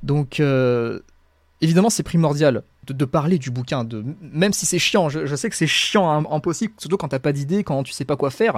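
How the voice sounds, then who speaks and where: A man with a fairly high pitch talks at a moderate pace with ordinary pitch variation, on a very clean recording with a silent background. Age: 20s. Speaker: self-published fantasy author and YouTuber. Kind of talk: casual interview. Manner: halting, repeats words.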